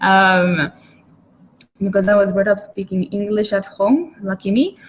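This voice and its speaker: Her voice somewhat breathy, the woman talks fairly slowly, and her pitch varies in an ordinary way. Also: medium pitch for a woman. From Malta. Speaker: online marketer. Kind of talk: webinar presentation. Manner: hesitant, many fillers.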